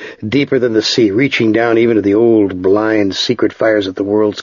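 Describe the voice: The intonation stays fairly even through this plain reading aloud.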